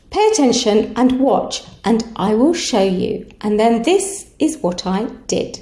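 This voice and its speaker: The pace is very slow, with very wide pitch swings. Audible room echo surrounds the voice. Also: woman. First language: not English. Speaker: English tutor. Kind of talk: casual vlog address to parents.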